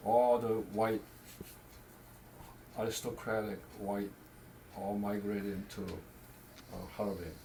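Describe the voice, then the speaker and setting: A man speaks fairly slowly in a fairly low, monotone, flat voice, with long, frequent pauses and audible room echo. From Korea. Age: 80s+. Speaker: family elder. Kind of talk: storytelling. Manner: halting.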